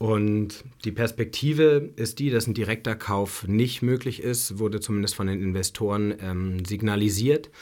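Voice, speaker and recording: With an ordinary speaking voice, a man of fairly low pitch speaks at a fairly slow pace with fairly even intonation and hardly any pauses, in a very clean recording with a silent background. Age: 30s. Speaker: bar and restaurant owner. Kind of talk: interview. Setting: studio.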